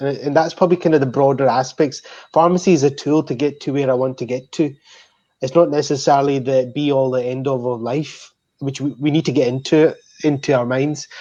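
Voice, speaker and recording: Over a quiet background, the voice has a dark, mellow tone, a Scottish accent and fairly even intonation. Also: man, fairly high pitch for a man, fairly quick pace. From Scotland. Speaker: pharmacist. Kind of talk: panel discussion.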